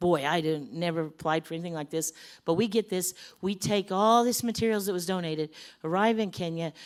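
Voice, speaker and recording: Delivered at a fairly quick pace, the voice has an animated tone and ordinary pitch variation. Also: woman, fairly low pitch for a woman. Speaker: missionary. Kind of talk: church mission talk with slides. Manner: fast.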